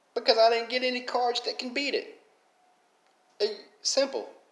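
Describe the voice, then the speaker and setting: A man talks at a moderate pace with a strong Southern accent. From Alabama, US South. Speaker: mobile game YouTuber. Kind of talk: casual commentary vlog.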